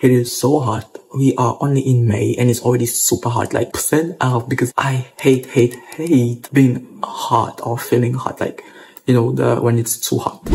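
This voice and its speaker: A man speaks quietly at a moderate pace with fairly even intonation. Noticeable background noise can be heard. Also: medium pitch for a man. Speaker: YouTuber reviewing a TV show. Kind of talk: casual vlog chat. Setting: at home. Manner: talking quietly.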